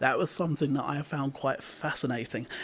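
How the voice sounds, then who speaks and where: A man talks at a fairly quick pace in a plain, everyday voice, fairly high in pitch. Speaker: radio show presenter. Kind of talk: radio show presenter talking to listeners. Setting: radio studio.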